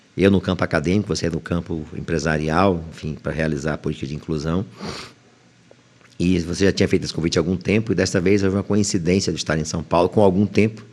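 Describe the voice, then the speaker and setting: Over noticeable background noise, a man with a very deep, low pitch speaks at a very fast pace with fairly even intonation. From Bahia, northeastern Brazil (Itaberaba). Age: 60s. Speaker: high court judge. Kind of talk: interview.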